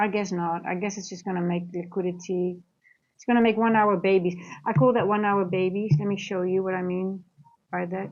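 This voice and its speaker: A woman with a Dutch accent, medium pitch, monotone, flat intonation and big swings in loudness. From Netherlands, grew up partly in Singapore. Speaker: trader and trading coach. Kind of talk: live trading stream with chat Q&A. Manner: casual, halting.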